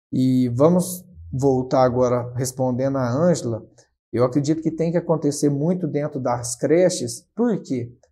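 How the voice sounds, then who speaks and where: This man talks at a fairly slow pace with a somewhat breathy voice and ordinary pitch variation. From São Paulo state, Brazil. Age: 20s. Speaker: city councillor. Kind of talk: interview. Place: studio. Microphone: lapel.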